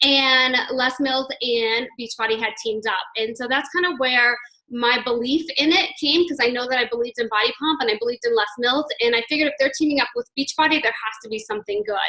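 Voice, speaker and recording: This woman has a high pitch and ordinary pitch variation. She talks at a fairly quick pace. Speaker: fitness network marketing coach and gym instructor. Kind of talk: team call talk, sharing personal story. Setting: conference call. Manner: fast; enthusiastic.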